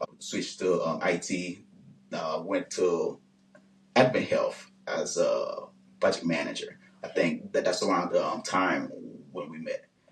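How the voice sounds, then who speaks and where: Against noticeable background noise, a man speaks at a fairly slow pace with long, frequent pauses. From Haiti. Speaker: engineer and business owner. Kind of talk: interview.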